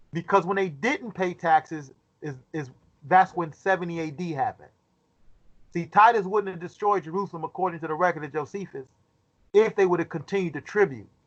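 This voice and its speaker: A man's high voice at a fairly quick pace, with ordinary pitch variation, big swings in loudness, and long, frequent pauses. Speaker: Bible study teacher. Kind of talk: Bible study lecture. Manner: fast.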